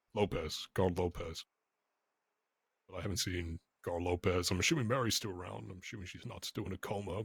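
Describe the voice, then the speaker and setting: A raspy, put-on character voice moves at a fairly quick pace, broken by long, frequent pauses, on a very clean recording with a silent background. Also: man, very deep, low pitch for a man. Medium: game stream. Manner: casual, profane.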